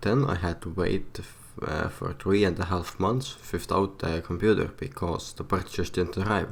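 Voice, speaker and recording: A man with a very deep, low pitch talks at a fairly slow pace with fairly even intonation. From Estonia. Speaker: PC building vlogger. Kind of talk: casual vlog narration. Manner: halting, many fillers.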